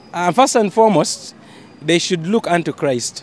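A man speaks at a high pitch with lively intonation. Faint music sits in the background. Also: moderate pace.

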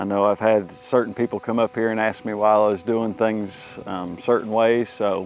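A man talks at a moderate pace with fairly even intonation. The sound is dry with no echo, and faint music plays in the background. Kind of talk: casual vlog chat. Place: open country.

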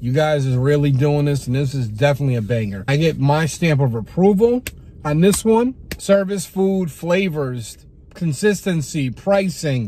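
A man at a moderate pace with very wide pitch swings, in a dry sound with no echo. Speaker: food reviewer. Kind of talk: casual vlog chat. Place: car. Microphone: phone near.

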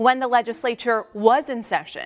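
A woman is talking. Her pace is moderate. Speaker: news anchor. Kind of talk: news reading. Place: studio.

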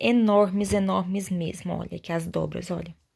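A woman speaks with an animated, warm tone. The background is quiet. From Brazil. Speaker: fabric shop seller and sewing channel host. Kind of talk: sales pitch, street-vendor style promo showing fabrics. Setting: video. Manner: animated, chatty and warm; fast, persuasive, diminutive-laden. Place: workshop. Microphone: phone near.

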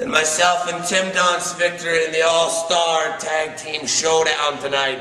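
Audible room echo and light background noise around a man with a high pitch for a man. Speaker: professional wrestler. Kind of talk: wrestling promo, taunting a rival. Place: studio.

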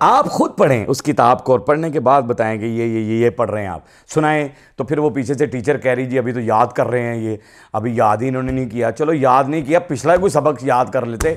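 Against a quiet background, a man speaks at a moderate pace in an animated tone, with ordinary pitch variation. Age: 50s. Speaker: comedian. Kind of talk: comedic political commentary. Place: studio. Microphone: lapel.

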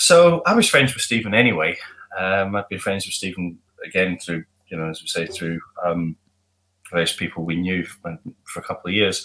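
A man speaks with a very deep, low pitch and a bright, sharp tone. His intonation stays fairly even. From outside Glasgow, now Glasgow. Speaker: musician, band frontman; guest. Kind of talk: casual interview chat. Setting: remote call from home. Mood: reflective, slightly wistful. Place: home room.

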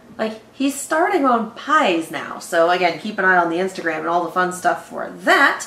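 There is audible room echo as a woman talks at a fairly quick pace. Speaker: reaction channel host. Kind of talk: casual sponsor read. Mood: playful, giggly. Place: home room. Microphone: camera far.

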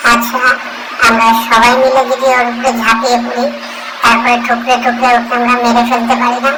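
A female-sounding cartoonish character voice, high in pitch, goes at a moderate pace over loud background noise. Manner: hot-tempered, fiery.

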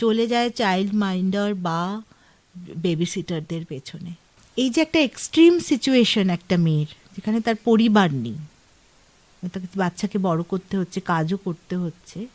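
Recorded with a dry, close sound and no echo, a woman has a plain, everyday voice at a medium pitch with lively intonation. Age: 50s. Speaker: author. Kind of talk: radio interview. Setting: radio studio.

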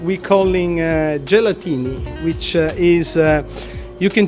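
Over clear background music, a man speaks at a moderate pace with fairly even intonation. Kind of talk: interview answer. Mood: relaxed, laughing at times. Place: bar. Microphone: handheld.

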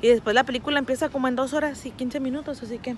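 Speaking at a fast pace, a woman has a fairly high pitch and a slightly mellow tone.

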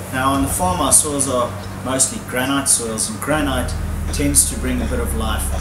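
A man speaks at a moderate pace with music in the background. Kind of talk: tasting presentation. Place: open country.

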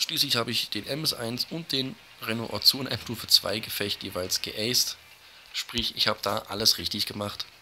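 Amid noticeable background noise, a man with a medium pitch talks at a moderate pace with ordinary pitch variation. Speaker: gaming YouTuber. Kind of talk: gameplay commentary. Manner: casual, with fillers.

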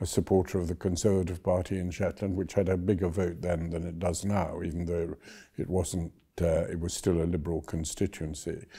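A man's very deep, low voice, somewhat breathy and dark and mellow, with flat, monotone intonation, a fairly quick pace and a quiet background. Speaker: former government minister, interviewee. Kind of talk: interview answer. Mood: relaxed, amused. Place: office. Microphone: lapel.

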